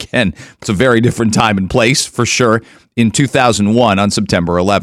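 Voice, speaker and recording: The recording is very clean, with a silent background. The speaker moves at a fairly quick pace with ordinary pitch variation. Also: man. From Canada. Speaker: radio host. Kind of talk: radio talk show. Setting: studio. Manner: animated.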